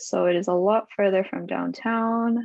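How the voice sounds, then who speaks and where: A woman's voice with fairly even intonation. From Argentina-born ethnic Korean, moved away at five. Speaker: podcast guest, works in marketing. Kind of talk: casual chat.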